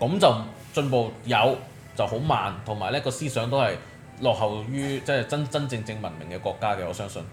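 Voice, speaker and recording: Over music in the background, a man talks at a moderate pace with ordinary pitch variation and audible room echo. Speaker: podcast host. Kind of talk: casual chat.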